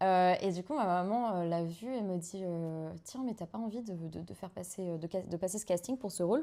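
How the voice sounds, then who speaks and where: A woman's dark, mellow tone at a medium pitch, with ordinary pitch variation, on a very clean recording with a silent background. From Belgium (Waterloo). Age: 20s. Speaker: actress. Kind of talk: casual chat. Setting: live stream on a couch with two hosts.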